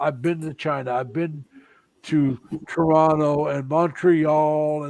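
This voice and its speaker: A man's fairly high, monotone, flat voice at a very slow pace against a quiet background. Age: 60s. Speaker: security guard. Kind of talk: casual chat.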